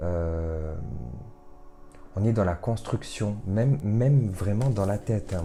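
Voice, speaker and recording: A soft-spoken man's fairly low voice at a very slow pace, broken by long, frequent pauses. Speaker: tarot card reader. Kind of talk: card reading guidance. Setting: home recording late at night. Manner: hesitant, many fillers.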